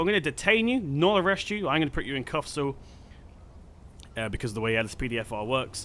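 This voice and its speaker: With an English accent, a man talks in a bright, sharp tone at a fairly high pitch. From England. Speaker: gaming YouTuber. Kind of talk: gameplay commentary. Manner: casual, hesitant with fillers.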